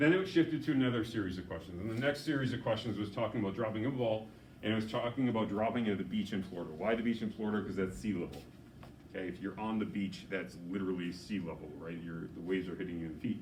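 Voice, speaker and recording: Somewhat breathy and fairly low-pitched, a man rushes along at a very fast pace with lively intonation in audible room echo. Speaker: physics teacher. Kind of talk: lecture.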